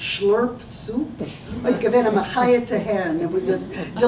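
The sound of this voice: The voice reads in an unforced way, with ordinary pitch variation.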